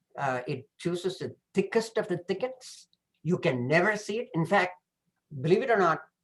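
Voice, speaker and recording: Speaking in a Tamil accent, a man uses a high pitch and lively intonation at a moderate pace. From southern India. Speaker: professor. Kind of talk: presentation. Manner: hesitant, many fillers.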